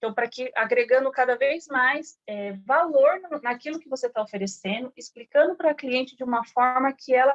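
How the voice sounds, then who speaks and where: A woman with a high voice speaks at a moderate pace with ordinary pitch variation, her sound dry and close with no echo. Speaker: sales trainer. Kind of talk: online training session.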